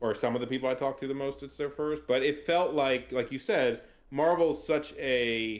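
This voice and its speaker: A plain, everyday voice from a man, fairly high in pitch, with fairly even intonation at a moderate pace. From US, Maryland. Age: 30s. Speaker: tabletop gamer, actuary. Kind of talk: casual chat. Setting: podcast.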